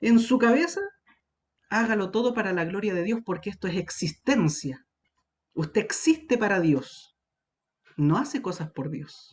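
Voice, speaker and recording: Long, frequent pauses interrupt speech that moves at a fairly slow pace. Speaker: youth Bible teacher. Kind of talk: online Bible study lecture.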